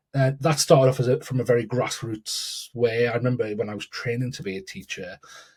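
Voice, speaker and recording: A somewhat breathy man with a northern English accent. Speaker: educator and keynote speaker. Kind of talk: podcast interview. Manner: halting, many repetitions.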